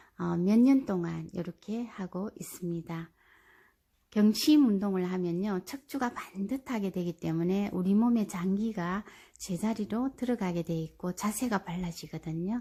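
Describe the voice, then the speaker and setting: A woman speaks fairly slowly at medium pitch with ordinary pitch variation, her tone dark, mellow and somewhat breathy. The recording is very clean, with a silent background. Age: 60s. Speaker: senior health-exercise vlogger. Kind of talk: casual talk to camera, instructional explanation.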